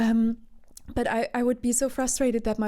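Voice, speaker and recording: A breathy woman with a dark, mellow tone speaks at a moderate pace in monotone, flat intonation, in a very clean recording with a silent background. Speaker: session vocalist and voice therapist. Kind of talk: interview.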